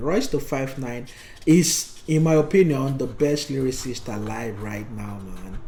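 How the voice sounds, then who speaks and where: In a room with audible room echo, a man with a Nigerian accent speaks fairly slowly at a medium pitch, with ordinary pitch variation and big swings in loudness. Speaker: podcast co-host. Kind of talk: casual chat. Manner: halting, with frequent fillers.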